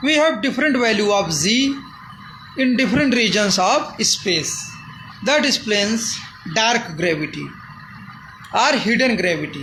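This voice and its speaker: Speaking with an Indian accent, a man uses a high pitch, lively intonation and a raised, projected voice at very even loudness. Long, frequent pauses break his speech, amid noticeable background noise and audible room echo. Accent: non-fluent Indian English. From India, Uttar Pradesh. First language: Hindi. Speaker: amateur physics theorist. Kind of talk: explanatory monologue. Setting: filmed by a camera operator. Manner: halting.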